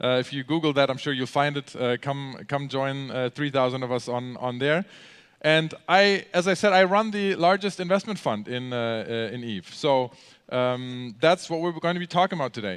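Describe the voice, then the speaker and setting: A man with a German accent and a fairly high pitch talks at a moderate pace with lively intonation. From Germany. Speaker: gamer and convention speaker. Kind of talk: convention talk. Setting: stage with audience. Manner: halting, many fillers.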